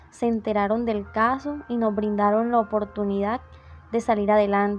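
Over music in the background, a woman speaks with a fairly high pitch and fairly even intonation. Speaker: industrial engineering student. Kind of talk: interview answer.

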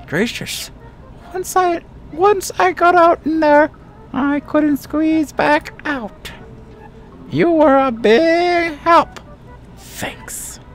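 A man's put-on character voice, extremely high-pitched and very slow, over clear background music. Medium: game stream. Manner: prim, polite.

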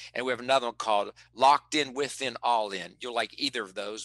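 A man with an American accent, bright and sharp in tone, at a fairly quick pace with ordinary pitch variation over a quiet background. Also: dry sound with no echo. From West Virginia. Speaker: performance psychologist and motivational speaker; interview guest, performance coach. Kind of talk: interview. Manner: animated. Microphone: headset.

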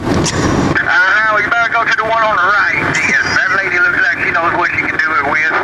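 Amid loud background noise, a man speaks at a moderate pace with hardly any pauses. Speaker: truck driver. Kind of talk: casual CB radio chat. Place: car. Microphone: camera far.

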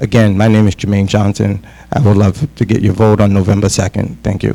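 A man with a New England accent and a fairly low pitch talks at a fairly quick pace, with very even loudness and fairly even intonation. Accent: New England American. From Worcester, Massachusetts, US. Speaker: school committee candidate, social worker. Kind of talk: candidate forum speech.

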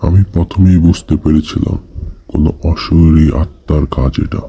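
A man does a cartoonish character voice with a very deep, low pitch. He speaks at a fairly slow pace. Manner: confident, solemn.

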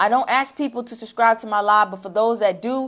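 A woman speaks at a moderate pace in a fairly high pitch, with an animated tone. Her pitch varies in an ordinary way over a quiet background. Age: 30s. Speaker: social media marketing coach. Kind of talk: livestream sales pitch. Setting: livestream. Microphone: lapel.

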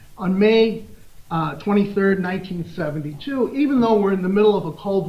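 A man with a Midwestern American accent speaks with ordinary pitch variation. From US Midwest, Des Moines, Iowa; Iowa. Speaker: law professor. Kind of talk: conference lecture. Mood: lively anecdote, humorous. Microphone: podium.

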